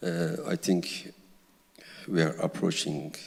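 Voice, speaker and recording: Speaking at a fairly slow pace, a man talks with a Kurdish-Turkish accent. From Kurdish village in Turkey. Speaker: novelist. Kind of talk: literary Q&A on stage.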